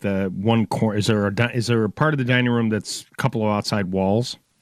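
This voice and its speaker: Speaking at a very fast pace, a man with an American accent uses a medium pitch in a dry, close sound with no echo. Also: very even loudness. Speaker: home improvement radio host. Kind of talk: radio call-in show. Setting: studio. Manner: animated.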